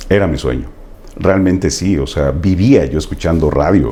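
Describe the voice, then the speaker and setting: Noticeable background noise behind a man's very deep, low voice, fairly slow in pace. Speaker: radio announcer. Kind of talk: interview answer, casual conversation.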